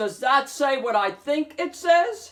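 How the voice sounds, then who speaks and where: Fairly slow delivery in a put-on character voice. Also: woman. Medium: read story.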